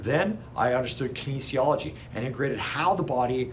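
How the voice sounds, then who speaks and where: Noticeable background noise and audible room echo around a man at medium pitch and a fairly quick pace. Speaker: chiropractor. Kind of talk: educational talk to camera. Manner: fast.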